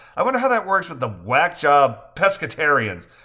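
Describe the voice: Text is read out with no frills. It is plain reading aloud.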